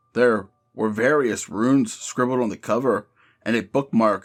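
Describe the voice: Little else is heard behind the voice. The delivery is plain reading aloud.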